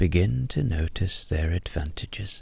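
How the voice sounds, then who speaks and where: A soft-spoken man's very deep, low voice, dark and mellow, somewhat breathy and calm, with lively intonation at a very slow pace. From Ireland. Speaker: storyteller and voiceover artist. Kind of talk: sleep story. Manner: soft, slow, calm.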